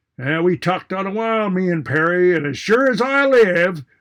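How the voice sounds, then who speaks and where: With lively intonation, a man talks at a moderate pace in a high voice. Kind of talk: tall tale cowboy yarn. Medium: read story. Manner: colorful, florid, mock-indignant.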